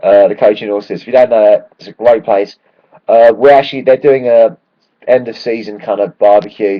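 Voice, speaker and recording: With a London accent, a man talks fairly quickly at a medium pitch. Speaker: football fan vlogger. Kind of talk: casual video blog. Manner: animated.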